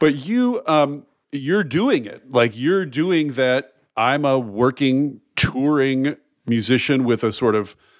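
Recorded very cleanly against a silent background, a man speaks at a fairly slow pace with ordinary pitch variation. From US South. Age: 50s. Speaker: podcast host. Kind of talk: interview. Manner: animated.

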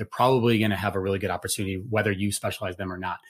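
A somewhat breathy man on a very clean recording with a silent background. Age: 40s. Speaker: Olympic gold medalist and nonprofit CEO. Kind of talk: panel discussion.

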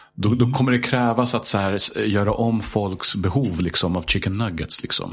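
Moderate pace, ordinary pitch variation and very even loudness. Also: man, fairly low pitch for a man. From Sweden, Stockholm. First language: English (speaking Swedish). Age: 30s. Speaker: high school teacher. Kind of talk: casual chat.

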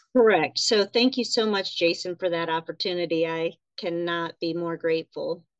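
A woman speaks at a moderate pace in a plain, everyday voice, fairly low in pitch with ordinary variation. The sound is dry and close, with no echo. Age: 40s. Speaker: nurse and writer. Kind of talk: casual chat.

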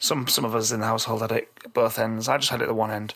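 The delivery comes at a very fast pace in a bright, sharp, croaky tone with fairly even intonation. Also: man, fairly low pitch for a man.

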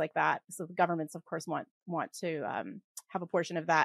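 The recording is very clean with a silent background and a dry, close sound with no echo, as a woman speaks at a fairly quick pace. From Western Canada. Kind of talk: casual interview chat. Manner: fast talker.

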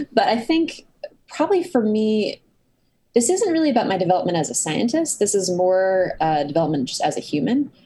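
A woman with an American accent has a dark, mellow tone, a somewhat breathy voice and very wide pitch swings. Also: medium pitch for a woman, moderate pace. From US, Cambridge, Massachusetts. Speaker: neuroscience author. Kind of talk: casual interview.

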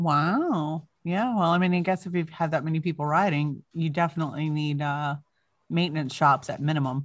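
Her pitch is very deep and low for a woman. She talks at a moderate pace against a quiet background. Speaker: podcast host. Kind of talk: casual chat. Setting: video call. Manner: loud; animated.

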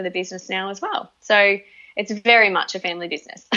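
Talking at a very fast pace, a woman has a medium pitch. She speaks in an Australian accent. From Northern Territory, Australia. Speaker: naturopath and nutritionist. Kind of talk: interview conversation. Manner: hesitant, many fillers.

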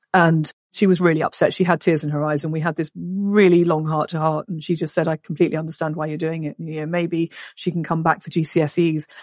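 This woman speaks very fast with an English accent, her pitch fairly low and her intonation monotone and flat. The sound is dry and close, with no echo. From England. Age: 40s. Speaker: business owner and mother. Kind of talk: casual interview.

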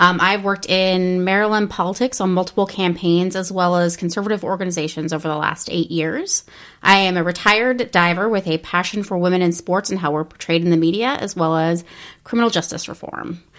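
A woman with an American accent and a normal speaking voice talks at a fairly quick pace with medium pitch and fairly even intonation on a very clean recording with a silent background. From New Jersey. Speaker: podcast co-host. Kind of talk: casual chat.

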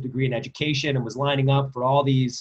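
A somewhat breathy man with an American accent speaks at a medium pitch in a monotone, flat intonation. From New Jersey, Princeton area. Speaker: lacrosse club director and coach. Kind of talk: interview.

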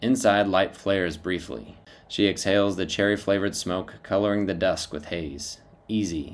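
A natural reading voice is used here. It stays that way from start to end.

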